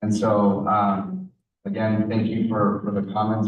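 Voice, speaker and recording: A fairly low-pitched male voice with a Spanish accent, delivered in a flat monotone. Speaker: school board member. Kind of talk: public meeting remarks. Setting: school board meeting with audience. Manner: halting, many fillers.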